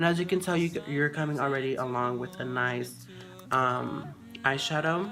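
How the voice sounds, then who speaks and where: A woman with a very deep, low pitch, moderate pace and ordinary pitch variation, with audible room echo and music in the background. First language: Spanish. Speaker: beauty youtuber. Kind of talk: tutorial. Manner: casual, hesitant with many fillers.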